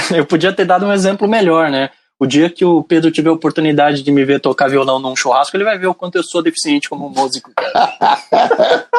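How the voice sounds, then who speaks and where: At a fairly quick pace with hardly any pauses, a man speaks in a fairly high pitch with ordinary pitch variation. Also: dry, close sound with no echo. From Brazil, São Paulo city. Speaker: podcast guest, technical consultant. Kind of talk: casual podcast interview.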